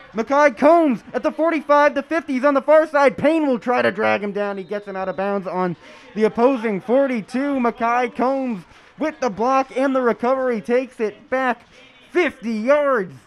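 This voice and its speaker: A man with an American accent speaks at an extremely high pitch, with ordinary pitch variation and noticeable background noise. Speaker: sportscaster, play-by-play announcer. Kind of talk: sports play-by-play, football broadcast. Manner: fast, energetic.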